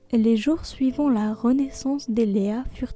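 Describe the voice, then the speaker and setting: Over music in the background, a woman speaks softly in a high voice with a soothing tone. Her pace is very slow. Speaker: bedtime storyteller. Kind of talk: sleep story narration. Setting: human narration, no AI voice. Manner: soft, soothing.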